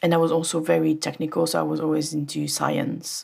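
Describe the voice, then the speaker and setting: The speaker talks at a moderate pace with a French accent. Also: woman. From France. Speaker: audio engineer. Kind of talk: casual interview chat.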